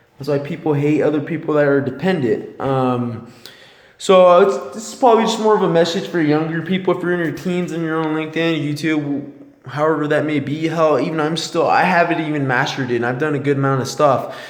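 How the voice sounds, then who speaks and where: Mumbling at a fairly quick pace, a man talks at a fairly high pitch with ordinary pitch variation, audible room echo and noticeable background noise. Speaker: motivational vlogger. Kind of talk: motivational monologue. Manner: animated.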